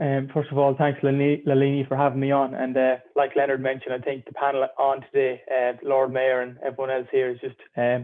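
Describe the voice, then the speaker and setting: This man talks very fast with an Irish accent. His medium-pitched voice stays monotone and flat. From Ireland. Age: 20s. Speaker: filmmaker. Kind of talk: panel discussion.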